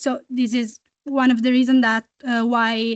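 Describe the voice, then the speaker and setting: A woman speaks fairly slowly in a high pitch with an Italian accent, her intonation monotone and flat, over a quiet background with a dry, close sound and no echo. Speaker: student activist. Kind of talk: audience comment at a meeting. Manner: halting, many fillers.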